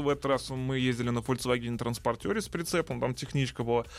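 A man speaks in a plain, everyday voice at medium pitch and a moderate pace. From Russia. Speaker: car video blogger. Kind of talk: casual chat.

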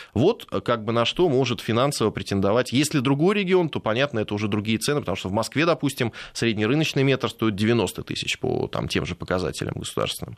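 A man at a very fast pace and medium pitch, with lively intonation and a dry, close sound with no echo. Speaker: lawyer. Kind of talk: radio interview. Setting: studio.

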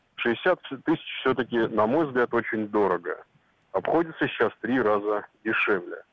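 Using lively intonation, a man with a medium pitch speaks at a fairly slow pace. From Moscow region, Russia. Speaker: caller. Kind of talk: phone-in comment. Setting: phone call. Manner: opinionated.

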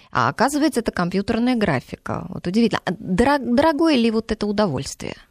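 Her voice fairly high with vocal fry, a woman speaks very fast with very wide pitch swings in a dry, close sound with no echo. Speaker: radio host. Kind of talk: radio interview with listener calls. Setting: studio.

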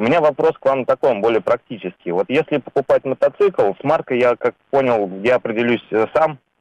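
A man with a plain, everyday voice at medium pitch, fairly quick pace and lively intonation, very even loudness, in a dry, close sound with no echo. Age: 30s. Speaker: caller. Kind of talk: phone-in question.

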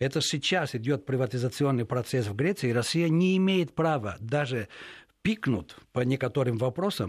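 A normal speaking voice with lively intonation at a moderate pace, in a very clean recording with a silent background. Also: man. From Greece. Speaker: journalist. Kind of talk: radio interview. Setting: radio studio.

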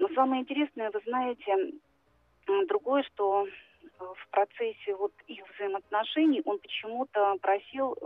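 A high-pitched woman speaks at a moderate pace. Her pitch rises and falls very widely. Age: 50s. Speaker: caller. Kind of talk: phone-in confession. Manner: halting.

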